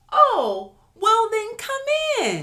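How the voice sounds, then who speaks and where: Putting on a character voice, a woman sounds squeaky at an extremely high pitch. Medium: read story. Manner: fussy.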